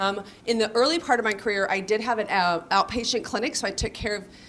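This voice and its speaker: A woman talks in an animated tone at a very fast pace. Her pitch is medium. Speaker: pediatrician and hospital executive. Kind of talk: career talk to students. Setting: room with student audience. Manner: loud.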